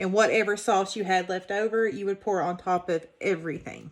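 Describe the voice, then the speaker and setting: Noticeable background noise runs through the clip. The speech holds a moderate pace with fairly even intonation. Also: woman. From Kentucky. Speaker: home cooking channel host. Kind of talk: cooking tutorial. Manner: casual.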